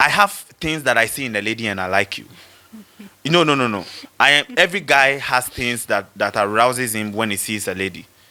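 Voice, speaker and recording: A loud man speaks at a fairly quick pace in an animated, bright, sharp tone. His pitch is medium. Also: ordinary pitch variation. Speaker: rapper. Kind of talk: casual debate. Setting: studio.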